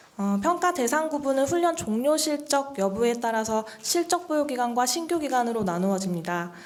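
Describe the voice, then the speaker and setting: A woman talks at a high pitch with very wide pitch swings and hardly any pauses. There is noticeable background noise. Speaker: training program official presenter. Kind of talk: briefing presentation. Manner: fast; formal.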